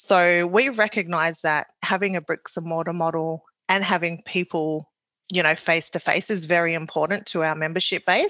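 A woman with a New Zealand accent and a fairly low pitch speaks in a bright, sharp tone at a moderate pace, with fairly even intonation over a quiet background. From New Zealand, Maori. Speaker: bank process manager. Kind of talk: interview answers. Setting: remote call.

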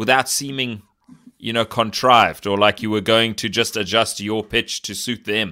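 Here a man speaks in a bright, sharp tone. The recording is very clean and the background silent. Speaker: indie filmmaker, podcast co-host. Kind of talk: casual interview.

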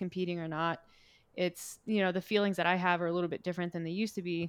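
A woman with a slight Canadian accent and fairly low pitch, very fast and monotone with flat intonation, on a very clean recording against a silent background. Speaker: fitness and nutrition coach. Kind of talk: casual chat.

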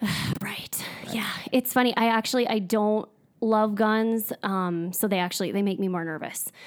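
With a strong North Dakota accent, a woman speaks at a moderate pace. Her pitch is fairly high and her intonation fairly even. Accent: strong Upper Midwest North Dakota. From US Upper Midwest (North Dakota). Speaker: dietitian. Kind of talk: casual interview. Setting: studio.

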